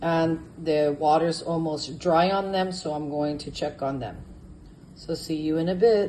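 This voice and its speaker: In a room with audible echo, a woman speaks at a fairly slow pace, her fairly low pitch and dark, mellow tone holding fairly even intonation. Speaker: home cook. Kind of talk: cooking tutorial. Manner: casual, with fillers.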